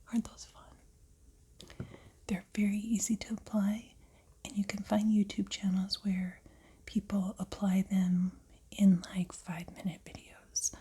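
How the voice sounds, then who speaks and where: A soft-spoken, calm tone at a fairly slow pace with long, frequent pauses. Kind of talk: ASMR tutorial, soft-spoken narration. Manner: soft-spoken, calm, slow, quiet.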